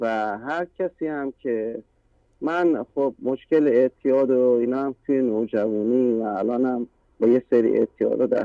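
Medium in pitch with ordinary variation, a man speaks fairly slowly in a dark, mellow tone. The sound is dry and close, with no echo. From Iran. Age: 30s. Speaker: caller. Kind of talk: testimony. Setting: phone call.

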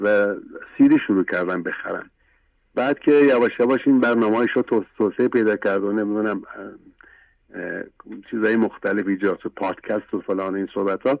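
Heard in a dry, close sound with no echo, a man speaks at a very fast pace with long, frequent pauses, his fairly low pitch held in a fairly even intonation. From Iran, Isfahan. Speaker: caller. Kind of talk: testimony. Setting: phone call.

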